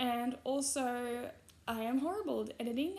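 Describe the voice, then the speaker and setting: A woman's high voice with an Australian accent and ordinary pitch variation. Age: 20s. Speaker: YouTuber. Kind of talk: casual vlog commentary. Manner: halting, frequent fillers.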